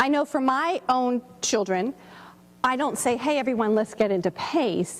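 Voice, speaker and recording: A loud, high-pitched woman's voice in an animated tone. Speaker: workshop presenter and teacher. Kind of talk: workshop presentation. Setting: room with live audience.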